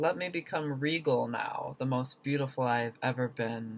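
Ordinary pitch variation marks a man's moderate-paced speech. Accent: American. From US. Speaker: poet. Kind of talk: spoken word poetry performance, reading own poem. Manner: rhythmic, emphatic, intense. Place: home room. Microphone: webcam.

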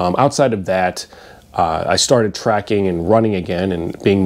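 A man with a very deep, low pitch talks at a moderate pace. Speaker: fitness vlogger. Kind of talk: casual vlog chat. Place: home room. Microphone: lapel.

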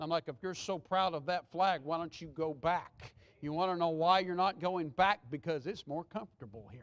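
A high-pitched man with a Southern US accent, big swings in loudness, ordinary pitch variation and a moderate pace. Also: hardly any pauses. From Texas. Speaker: pastor. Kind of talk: Sunday morning sermon, conversational with the congregation, pressing a hard point. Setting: church. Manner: earnest and reassuring, repeating himself to drive the point home; folksy and off-the-cuff, with asides. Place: church.

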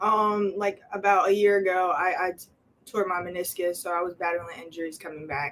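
With a New Jersey accent, the speaker keeps a moderate pace and fairly even intonation over light background noise. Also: woman. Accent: New Jersey American. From New Jersey, Camden. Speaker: college basketball player. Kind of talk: interview. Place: office. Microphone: camera far.

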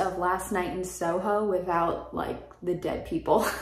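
A woman at a fairly slow pace, with light background noise and audible room echo. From Florida. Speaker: book youtuber. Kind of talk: casual vlog monologue; casual vlog chat. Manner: casual, filler-heavy. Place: home room.

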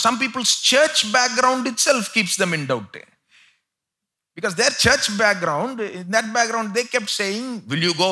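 Over a quiet background, a man speaks at a moderate pace in a raised, projected voice with a bright, sharp tone. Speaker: preacher. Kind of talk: sermon. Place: church. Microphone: headset.

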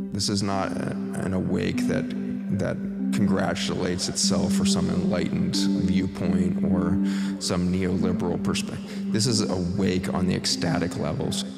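Music sounds in the background. Over it, a man talks at a moderate pace. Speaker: meditation guide. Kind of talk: guided meditation. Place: studio.

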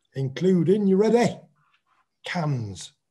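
A man speaks in a dark, mellow tone that is somewhat breathy. His intonation is lively. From England. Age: 60s. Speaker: boxer. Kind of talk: casual chat. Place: home room. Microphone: video call.

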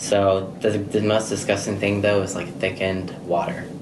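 Moderate-paced speech from a man over noticeable background noise. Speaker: nursing home employee. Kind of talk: casual interview. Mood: relaxed, casual. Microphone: phone near.

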